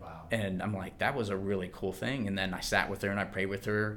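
Amid audible room echo, a man talks very fast at a fairly low pitch with fairly even intonation. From US Mid-Atlantic, Maryland (Calvert County). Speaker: physical therapist. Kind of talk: testimony.

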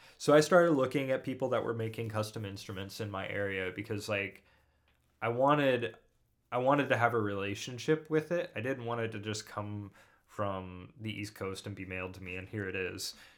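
An unremarkable speaking voice from a man with fairly low pitch and ordinary pitch variation. He talks at a fairly quick pace, and his loudness swings a lot. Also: very clean recording, silent background. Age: 30s. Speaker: musician. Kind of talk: casual chat.

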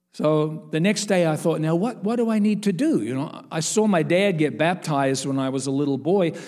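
This man has a plain, everyday voice pitched fairly high. He talks at a fairly quick pace with lively intonation. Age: 60s. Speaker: evangelist. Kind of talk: sermon. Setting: church.

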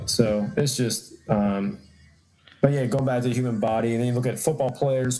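With a dark, mellow tone, a man talks at a medium pitch using fairly even intonation. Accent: American. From Atlanta, Georgia, US South. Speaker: athletic trainer and strength coach. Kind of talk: casual interview chat.

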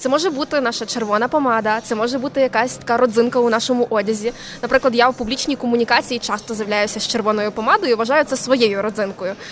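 A woman's fairly high voice at a very fast pace, with ordinary pitch variation and noticeable background noise. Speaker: soft skills and public speaking coach. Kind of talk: casual interview. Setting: live broadcast from a mobile studio at a venue.

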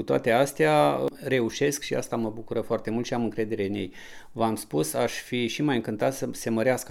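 Moderate-paced male speech at a medium pitch, with vocal fry. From Romania, Roșia Montană (Apuseni). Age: 50s. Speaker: local resident. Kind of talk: interview.

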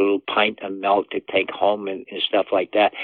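A man with a Boston accent talks at a moderate pace in a fairly low pitch. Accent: Boston-area New England. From US Northeast, Massachusetts. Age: 80s+. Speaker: endurance athlete and father. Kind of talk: interview.

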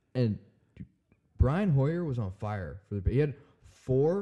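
A man speaks loudly. His pitch swings very widely. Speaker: drummer. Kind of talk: casual chat.

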